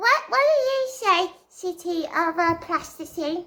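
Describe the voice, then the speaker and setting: In a put-on character voice, the speaker talks at an extremely high pitch and a fairly slow pace. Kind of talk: improvised role play. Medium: role play. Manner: excitable, stammering.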